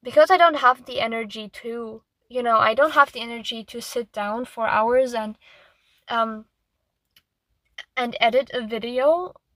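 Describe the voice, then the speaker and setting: Speaking with a non-native accent, a woman with a high pitch and a bright, sharp tone moves at a moderate pace with ordinary pitch variation, long, frequent pauses and big swings in loudness, in a dry, close sound with no echo. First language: not English. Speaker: artist. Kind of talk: casual monologue. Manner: halting.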